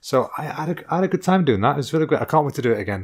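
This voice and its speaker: With an English accent and lively intonation, a man talks at a very fast pace in a very clean recording with a silent background. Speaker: comedy podcast host. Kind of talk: casual chat. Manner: tense.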